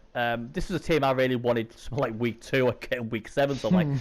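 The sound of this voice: A man speaks fast at a medium pitch. His pitch variation is ordinary.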